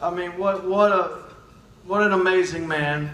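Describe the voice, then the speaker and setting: A man's raised, projected voice, high in pitch, with a Southern US accent, audible room echo and noticeable background noise. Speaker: naturopathic doctor. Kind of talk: speech.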